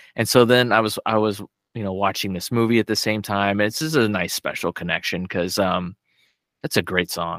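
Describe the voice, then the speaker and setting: This man has an ordinary speaking voice, fairly low in pitch with ordinary pitch variation, moving at a fairly quick pace in a dry, close sound with no echo on a very clean recording with a silent background. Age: 40s. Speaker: podcast guest. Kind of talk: casual chat.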